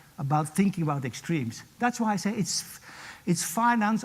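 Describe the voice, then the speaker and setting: A man's voice with very wide pitch swings. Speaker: professor. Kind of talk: lecture. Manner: fast.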